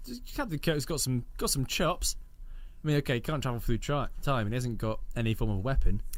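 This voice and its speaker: A man talks at a fairly quick pace. Room echo is audible around him. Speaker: radio show co-host. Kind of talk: casual chat.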